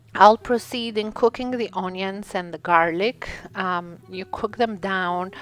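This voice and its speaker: At a fairly slow pace, this voice speaks with an Albanian accent and ordinary pitch variation. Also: woman. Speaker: cooking channel host. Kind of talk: cooking tutorial. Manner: hesitant, many fillers.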